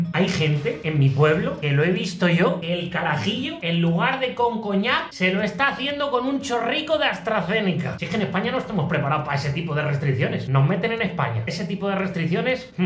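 Very wide pitch swings mark speech at a fairly quick pace with hardly any pauses and audible room echo. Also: man, high pitch for a man. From Spain. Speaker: comedian. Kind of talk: comedy monologue to camera. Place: home room. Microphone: phone near.

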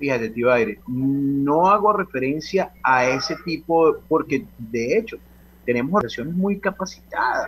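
With music in the background, a man with a fairly high voice speaks at a fairly slow pace, his intonation lively and his loudness very even. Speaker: professional association president. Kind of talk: radio interview.

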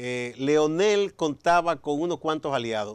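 With a quiet background, a man in an ordinary speaking voice talks at a moderate pace with lively intonation. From Dominican Republic. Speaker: TV interviewer. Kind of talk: interview. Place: studio. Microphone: lapel.

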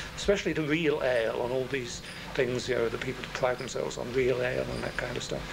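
A man at a very fast pace, amid noticeable background noise. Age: 60s. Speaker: retired librarian. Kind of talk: documentary interview. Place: shop.

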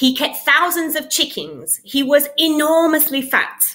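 A woman speaks in a raised, projected voice at high pitch with a bright, sharp tone. Her pace is very slow, and the background is quiet. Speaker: English teacher. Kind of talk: read story. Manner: clear, paced for learners. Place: home room. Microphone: webcam.

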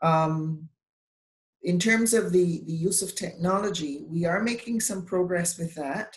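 Fairly low, somewhat breathy woman's voice at a fairly slow pace, ordinary pitch variation and audible room echo. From Barbados. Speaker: bar association president, lawyer. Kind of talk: panel discussion. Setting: video call. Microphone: video call.

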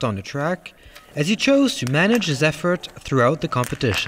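With noticeable background noise behind him, a man talks at a moderate pace with very wide pitch swings. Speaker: sports commentator. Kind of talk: sports commentary, scripted race recap narration. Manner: brisk, polished, measured; neutral, even-toned, informative.

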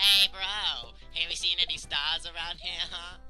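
A man speaks at a moderate pace in a put-on character voice, pitched high for a man, with clear music playing in the background. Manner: cartoonish.

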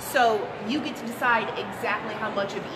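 A woman's voice amid loud background noise. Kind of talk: interview answer. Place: shop. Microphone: phone near.

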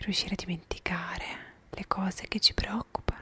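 Whispering is all the woman does. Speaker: ASMR creator. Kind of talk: soft-spoken ASMR talk. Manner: soft, close-mic ASMR murmur. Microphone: handheld.

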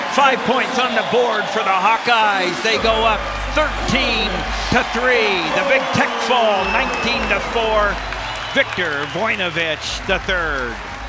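A man's very slow speech, dry with no echo, over loud background noise. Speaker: play-by-play commentator. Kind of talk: live sports play-by-play commentary. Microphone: headset.

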